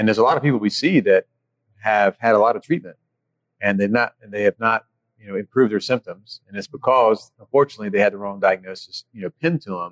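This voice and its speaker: Speaking at a very fast pace with an American accent, a man with a fairly low voice swings widely in loudness in a dry, close recording with no echo. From North Carolina. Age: 40s. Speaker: orthopedic surgeon. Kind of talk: casual interview. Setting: restaurant.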